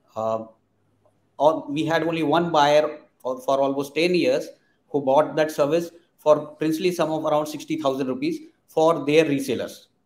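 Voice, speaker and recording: With fairly even intonation, this man delivers his words at a moderate pace. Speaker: interview guest. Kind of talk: interview answer. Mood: reflective storytelling.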